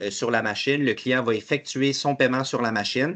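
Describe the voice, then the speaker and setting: A man speaks with a Quebec accent and fairly even intonation. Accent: Québécois French. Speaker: webinar host, payment company representative. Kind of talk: webinar presentation. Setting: online webinar. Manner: fast.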